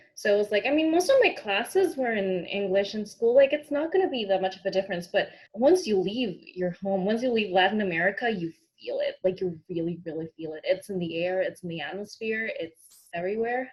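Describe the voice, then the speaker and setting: A woman with a medium pitch and a somewhat breathy voice speaks at a fairly quick pace with lively intonation, hardly any pauses and big swings in loudness. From Peru, Lima. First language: Spanish. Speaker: actor. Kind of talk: interview.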